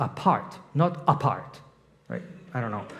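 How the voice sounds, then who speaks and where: A man with a non-native accent talks at a moderate pace with lively intonation and a somewhat breathy voice, and audible room echo surrounds him. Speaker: guest preacher and leadership coach. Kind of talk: sermon. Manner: conversational, with hesitations.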